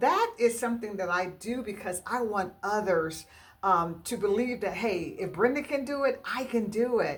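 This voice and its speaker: Through noticeable background noise, a woman speaks at a moderate pace with a fairly high pitch and lively intonation. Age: 60s. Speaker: home decor YouTuber. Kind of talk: casual vlog talk to viewers. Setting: at home in dining room. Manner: hesitant, many fillers.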